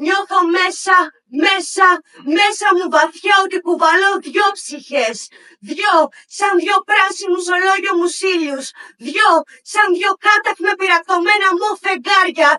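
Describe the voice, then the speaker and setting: A woman speaks in an extremely high pitch with a raised, projected voice and a bright, sharp tone. Her pace is very slow, with long, frequent pauses and ordinary pitch variation. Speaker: poet. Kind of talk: poetry slam performance.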